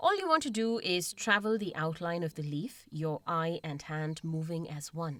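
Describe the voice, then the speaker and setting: Here a woman talks at a moderate pace with hardly any pauses, using a fairly low pitch with ordinary variation. Background noise is noticeable. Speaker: podcast host. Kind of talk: podcast narration.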